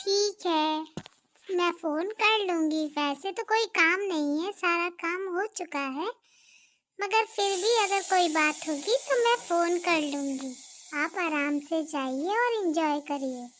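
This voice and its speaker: A cartoonish character voice moves at a fairly slow pace with lively intonation. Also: woman, extremely high pitch for a woman. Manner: sugary, evasive.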